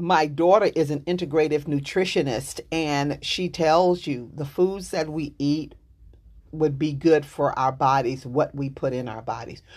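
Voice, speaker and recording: With a Texas accent, a woman speaks at a fairly slow pace in a very deep, low pitch, with ordinary pitch variation and a quiet background. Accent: Southern US, Texas. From Dallas, Texas. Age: 60s. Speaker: author, life coach and chaplain. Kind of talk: interview, casual chat.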